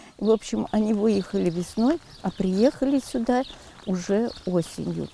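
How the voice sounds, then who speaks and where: Ordinary pitch variation and a fairly slow pace come through over noticeable background noise. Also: woman, medium pitch for a woman. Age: 70s. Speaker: retired village schoolteacher. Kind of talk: interview testimony.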